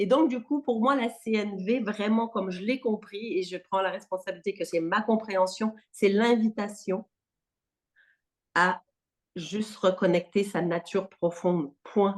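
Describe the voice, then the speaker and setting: A woman with a Quebec accent speaks slowly, at a medium pitch with ordinary pitch variation. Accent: Québécois. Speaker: non-violence trainer. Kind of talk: workshop discussion. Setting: video call. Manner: animated.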